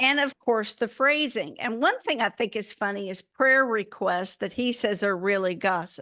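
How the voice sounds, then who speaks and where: A woman with an Alabama accent speaks at a moderate pace with hardly any pauses, her fairly high voice bright and sharp in tone with lively intonation. The sound is dry and close with no echo, against a quiet background. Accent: Alabama Southern, picked up. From Minnesota, Minneapolis. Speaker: podcast co-host. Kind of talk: casual chat.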